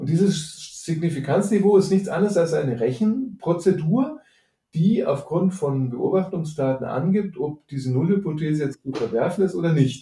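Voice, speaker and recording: A man with a high pitch, lively intonation and a moderate pace. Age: 50s. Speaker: financial analyst. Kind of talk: casual interview.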